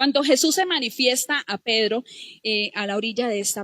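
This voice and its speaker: A woman with a high pitch and ordinary pitch variation speaks at a moderate pace, the sound dry and close with no echo. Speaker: lay preacher. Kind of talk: sermon.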